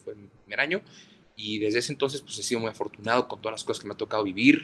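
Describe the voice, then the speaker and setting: The voice is a man's, pitched at a medium level. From northern Mexico, Ciudad Juárez. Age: 20s. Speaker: sports journalist. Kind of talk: interview. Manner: halting, many repetitions and fillers.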